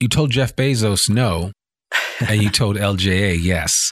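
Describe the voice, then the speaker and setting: A man's fairly low voice with lively intonation, dry and close with no echo. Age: 50s. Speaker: podcast host. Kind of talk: interview. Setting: office.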